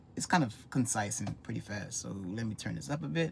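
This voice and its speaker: A man with a fairly low, somewhat breathy voice talks at a fairly quick pace. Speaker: vlogger. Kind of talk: casual monologue. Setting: home recording with wife nearby. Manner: fast.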